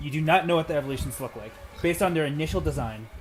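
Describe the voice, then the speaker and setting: A man speaks very fast in a fairly high voice with ordinary pitch variation. Music plays behind him. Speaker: podcast host running a livestream. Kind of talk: casual group chat on livestream. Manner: quiet.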